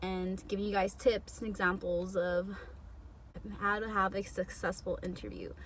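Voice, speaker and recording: A woman at a moderate pace, with audible room echo. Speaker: beauty vlogger and surgical tech. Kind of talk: casual tutorial voiceover. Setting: home bathroom. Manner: casual, conversational. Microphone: poor audio quality at the beginning.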